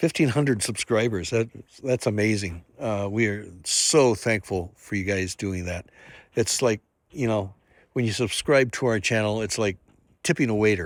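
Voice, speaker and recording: A man speaks at a moderate pace in a fairly low pitch, with ordinary pitch variation and an unremarkable speaking voice. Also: very clean recording, silent background. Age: 60s. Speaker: RV travel vlogger. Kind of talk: casual vlog narration.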